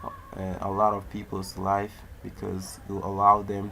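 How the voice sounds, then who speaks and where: Amid audible room echo, a man with a non-native accent speaks very slowly at a fairly low pitch, his intonation monotone and flat. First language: not English. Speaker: tech YouTuber. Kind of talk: tutorial. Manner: halting.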